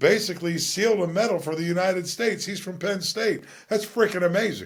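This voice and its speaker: Here a man talks at a fairly quick pace. His pitch is high. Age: 60s. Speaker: podcaster. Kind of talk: casual monologue. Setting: home studio. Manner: relaxed, many fillers.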